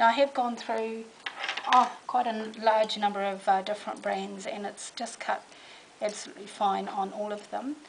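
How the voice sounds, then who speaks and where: Against noticeable background noise, a woman with a New Zealand accent talks at a fairly slow pace and fairly high pitch, with ordinary pitch variation. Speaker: crafter demonstrating a product. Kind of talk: product demonstration. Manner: casual, hesitant with fillers.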